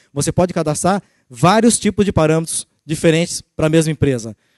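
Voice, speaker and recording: Recorded dry and close with no echo, a man with a fairly high pitch talks at a fairly quick pace with ordinary pitch variation. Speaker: sales executive. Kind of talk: sales presentation. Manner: fast.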